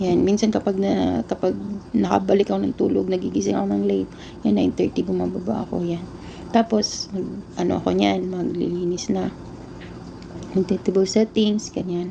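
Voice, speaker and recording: Noticeable background noise behind a woman talking at a moderate speed. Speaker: overseas domestic worker vlogger. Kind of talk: casual vlog.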